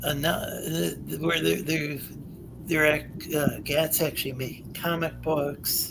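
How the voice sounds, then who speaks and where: Music plays behind a man who speaks fairly slowly. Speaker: call-in show host. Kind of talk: casual chat. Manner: halting, many repetitions.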